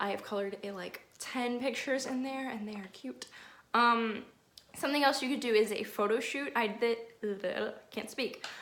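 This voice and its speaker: Long, frequent pauses and big swings in loudness. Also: woman, fairly high pitch for a woman. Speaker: nanny and lifestyle vlogger. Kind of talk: casual vlog tutorial. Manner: fast; animated.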